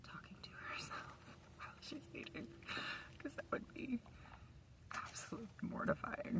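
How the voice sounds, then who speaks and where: A woman whispers with long, frequent pauses and big swings in loudness over noticeable background noise. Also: moderate pace. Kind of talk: casual talk to camera. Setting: inside a parked car. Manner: soft-spoken, quiet.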